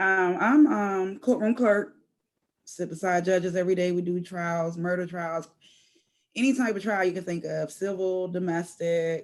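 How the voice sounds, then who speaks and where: Speech moves at a moderate pace. Pitch varies an ordinary amount. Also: woman. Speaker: student and courtroom clerk. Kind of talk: class introduction on video call. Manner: nervous when speaking alone.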